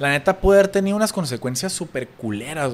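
Very fast speech from a man, with very wide pitch swings. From Tijuana, Mexico. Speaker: businessman. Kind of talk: casual chat.

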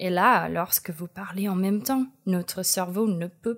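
A woman with an American accent speaks very slowly with ordinary pitch variation, recorded very cleanly over a silent background. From United States. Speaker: columnist. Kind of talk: personal column.

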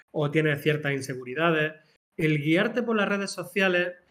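With a normal speaking voice, a man talks at a moderate pace, his fairly high pitch showing ordinary pitch variation. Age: 40s. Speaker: small business co-founder, media producer. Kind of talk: casual chat.

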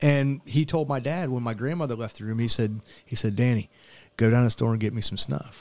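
A man talks in a plain, everyday voice at a medium pitch with ordinary pitch variation, captured in a very clean recording with a silent background. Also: fairly quick pace. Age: 40s. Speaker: military veteran podcast host. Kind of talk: casual chat.

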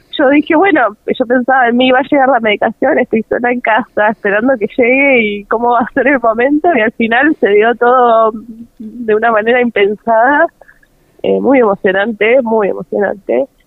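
A woman with a high pitch, ordinary pitch variation, a moderate pace and very even loudness. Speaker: mother of a child with achondroplasia. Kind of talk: radio interview.

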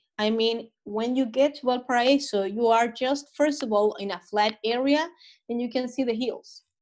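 Over a silent background in a very clean recording, a normal speaking voice moves at a fairly slow pace with ordinary pitch variation. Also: woman. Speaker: local guest expert on Chile. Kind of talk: casual interview.

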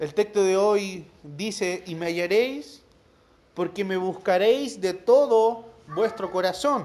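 Very slowly, a man speaks at a high pitch with ordinary pitch variation. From Chile, La Serena. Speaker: preacher. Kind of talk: sermon. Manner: halting, with repetitions.

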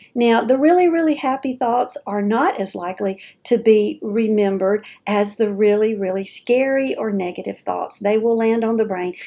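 At a moderate pace, a woman speaks with a fairly high pitch, ordinary pitch variation and a plain, everyday voice. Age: 50s. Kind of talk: casual monologue. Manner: chatty, informal.

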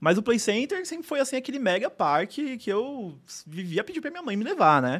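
This man speaks with very wide pitch swings. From São Paulo, Brazil. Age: 20s. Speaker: theme park enthusiast. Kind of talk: interview. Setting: studio.

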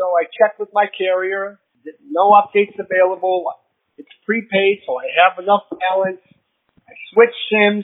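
Speaking at a moderate pace, a man uses a high voice and fairly even intonation. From Philippines. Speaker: listener voicemail caller. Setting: phone voicemail.

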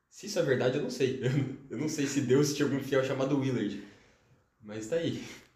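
The speaker moves at a fairly quick pace yet leaves long, frequent pauses, with ordinary pitch variation. Audible room echo surrounds the voice. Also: man, medium pitch for a man. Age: young. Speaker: chemistry student. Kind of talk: casual interview.

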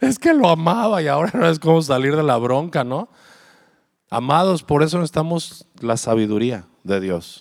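At a fairly slow pace, a man with a fairly high pitch talks in an animated tone with very wide pitch swings. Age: 40s. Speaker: pastor. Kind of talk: sermon.

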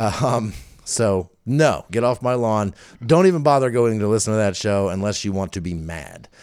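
In a very clean recording with a silent background, a man speaks at a moderate pace and fairly low pitch, his tone animated and his intonation lively. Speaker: podcast co-host. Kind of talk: casual chat. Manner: loud.

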